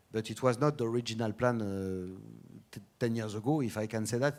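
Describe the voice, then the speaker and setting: A man speaks fairly quickly in a very clean recording with a silent background. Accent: French. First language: French. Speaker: automotive brand executive. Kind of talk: conference talk and Q&A. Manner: halting, many fillers.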